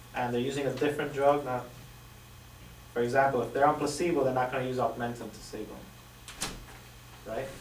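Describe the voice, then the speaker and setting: Amid noticeable background noise and audible room echo, a man speaks at a fairly quick pace with long, frequent pauses, a medium pitch, monotone, flat intonation and big swings in loudness. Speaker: student presenting in class discussion. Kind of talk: classroom presentation of a study. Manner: fast.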